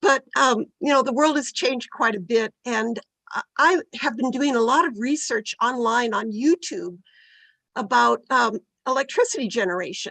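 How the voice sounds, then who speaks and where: A woman speaks at a moderate pace with lively intonation and a high pitch, and the sound is dry and close with no echo. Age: 70s. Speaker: member of the public giving comment. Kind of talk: public comment at a hearing. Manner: halting, with repeated false starts.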